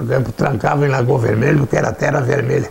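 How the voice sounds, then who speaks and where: Noticeable background noise is present. A man talks over it at a medium pitch. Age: 80s+. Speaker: former mayor. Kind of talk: documentary interview.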